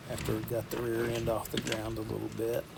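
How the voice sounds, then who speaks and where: A man with a Southern US accent and a relaxed tone, against noticeable background noise. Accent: Southern US drawl. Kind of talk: casual voiceover walkthrough. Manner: relaxed, rambling.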